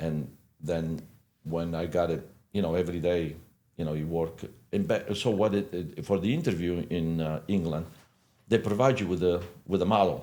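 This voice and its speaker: Speaking at a moderate pace with long, frequent pauses, a man with an Italian accent has a very deep, low pitch, a dark, mellow tone, and ordinary pitch variation. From Italy. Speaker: hairdresser and salon owner. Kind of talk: podcast interview. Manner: halting, many fillers.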